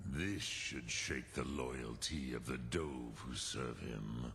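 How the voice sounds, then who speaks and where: Using a put-on character voice, a man speaks very slowly at a very deep, low pitch over clear background noise. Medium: video game. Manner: slow, grave, mixes dragon words.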